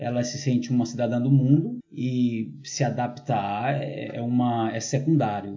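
In a room with audible echo, a man's somewhat breathy, medium-pitched voice keeps fairly even intonation. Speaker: teacher. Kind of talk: casual chat. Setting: at home with hosts.

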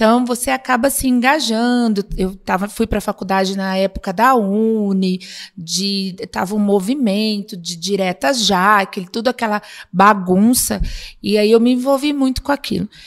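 Here is a woman with an ordinary speaking voice. Her pitch is medium, with ordinary variation at a moderate pace. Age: 50s. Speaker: city councillor and psychologist. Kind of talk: casual interview.

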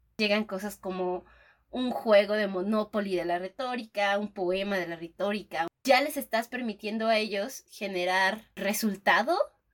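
A woman speaks in an animated tone at a fairly slow pace. Her pitch variation is ordinary. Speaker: podcast co-host, teacher. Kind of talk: casual chat.

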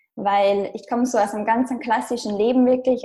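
With an Austrian accent, this voice has a dark, mellow tone and ordinary pitch variation. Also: woman. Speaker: blogger and digital nomad. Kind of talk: interview. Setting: internet recording.

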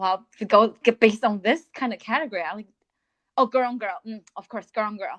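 A woman with a Chinese accent, fairly high pitch, ordinary pitch variation, big swings in loudness and a moderate pace. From China. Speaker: podcast co-host. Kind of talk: casual chat.

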